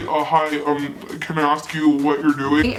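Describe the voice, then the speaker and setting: This is a put-on character voice, soft-spoken throughout. Background noise is clearly present. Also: man, fairly high pitch for a man, moderate pace. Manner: quiet, mumbly, hesitant.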